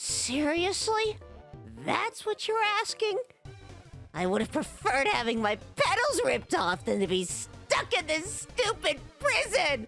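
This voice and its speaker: An extremely high, put-on character voice speaks at a fairly slow pace over clear music in the background. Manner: sarcastic, bitter.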